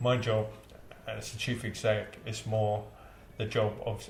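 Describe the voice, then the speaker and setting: The voice stays monotone and flat over noticeable background noise. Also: man. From India. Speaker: community centre chief executive. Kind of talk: interview answer. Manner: hesitant, conversational.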